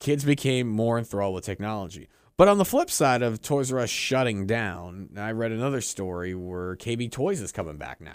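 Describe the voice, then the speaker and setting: In an ordinary speaking voice at medium pitch, a man talks at a moderate pace with hardly any pauses, lively intonation and big swings in loudness, on a very clean recording with a silent background. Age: 30s. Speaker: podcast host. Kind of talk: casual chat.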